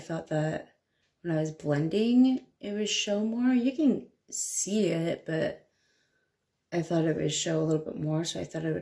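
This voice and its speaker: Quiet and dark-toned, a woman's mellow, fairly low voice moves at a moderate pace with ordinary pitch variation. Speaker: DIY hair vlogger. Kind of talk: casual vlog tutorial. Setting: at home at night. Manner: quiet, hushed.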